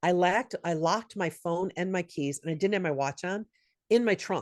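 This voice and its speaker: A woman's ordinary speaking voice, fairly low in pitch with ordinary pitch variation, in a dry, close sound with no echo. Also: moderate pace. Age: 60s. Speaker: SMS marketing business consultant. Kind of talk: workshop Q&A.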